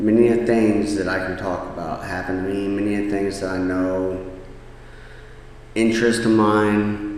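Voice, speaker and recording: Monotone, flat intonation at a fairly slow pace, with noticeable background noise and audible room echo. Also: man. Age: 30s. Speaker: podcast host. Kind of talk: personal storytelling monologue.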